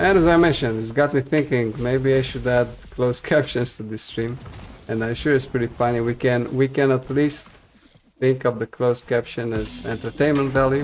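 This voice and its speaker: There is noticeable background noise behind this man. His pitch is medium and his intonation fairly even. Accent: non-native. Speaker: video game streamer. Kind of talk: live gameplay stream commentary. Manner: fast, few pauses; hesitant with many fillers.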